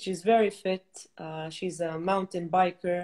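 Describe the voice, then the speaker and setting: A woman's fairly low-pitched voice in a monotone, flat intonation against a quiet background. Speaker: fitness trainer. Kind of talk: interview. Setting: video call. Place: home room. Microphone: video call.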